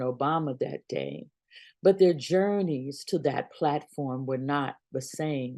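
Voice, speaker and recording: The voice has a dark, mellow tone and an American accent, with ordinary pitch variation. It moves at a fairly slow pace against a quiet background. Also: woman. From US South, Birmingham, Alabama. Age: 60s. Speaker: pastor. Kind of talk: sermon-style reflection. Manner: measured, formal.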